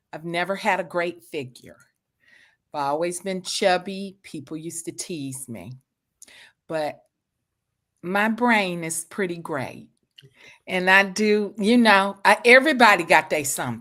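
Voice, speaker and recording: A woman with a strong Southern US accent talks fairly slowly in a bright, sharp tone, leaving long, frequent pauses. Her intonation is lively, her loudness swings widely, and the recording is very clean with a silent background. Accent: deep Southern American. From US South. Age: 50s. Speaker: author. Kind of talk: interview.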